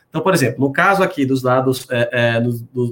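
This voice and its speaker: This man has a normal speaking voice, pitched medium. He moves at a fairly quick pace and his pitch varies in an ordinary way. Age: 40s. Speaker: credit bureau business development executive. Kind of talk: webinar conversation. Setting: video call.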